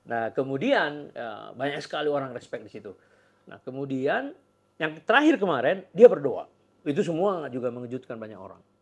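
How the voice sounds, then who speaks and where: A plain, everyday voice from a man, fairly high in pitch, with lively intonation, a fairly quick pace and big swings in loudness. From Indonesia. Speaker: podcast host. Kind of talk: interview. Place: office. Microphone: lapel.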